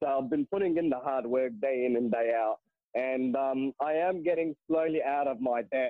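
A man at medium pitch speaks at a moderate pace, with ordinary pitch variation and very even loudness. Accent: Australian. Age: 20s. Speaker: caller, mechanical engineer. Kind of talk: call-in question. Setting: phone call.

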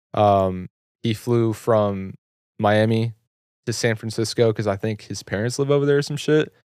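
A man with a normal speaking voice and an American accent talks at a moderate pace in a fairly low pitch with fairly even intonation, in a dry, close sound with no echo on a very clean recording with a silent background. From Texas, Carrollton. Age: 20s. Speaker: clothing entrepreneur and YouTuber. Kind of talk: casual chat. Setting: studio.

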